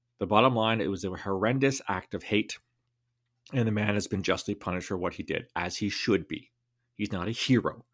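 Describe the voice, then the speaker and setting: A man with a Canadian accent talks at a fairly quick pace in an ordinary speaking voice, pitched fairly low with ordinary pitch variation. The recording is very clean, with a silent background. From Canada. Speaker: national security consultant and podcast host. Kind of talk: solo commentary podcast.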